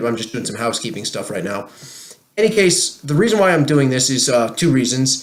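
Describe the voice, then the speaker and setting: A man with a New Jersey accent talks very fast at a medium pitch, with noticeable background noise behind him. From New Jersey, USA. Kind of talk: casual talk to camera.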